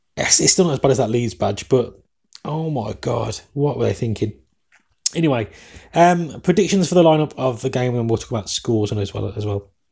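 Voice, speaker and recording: A man with an English accent talks fairly quickly at a medium pitch, with lively intonation. His dark, mellow tone is somewhat breathy. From England. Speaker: sports podcast host. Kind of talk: solo podcast commentary. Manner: fast talker.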